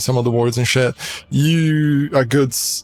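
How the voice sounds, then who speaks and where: Music plays in the background as a man with a Portuguese accent speaks at a medium pitch and a fairly slow pace. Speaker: gaming streamer. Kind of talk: casual gameplay commentary. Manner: halting.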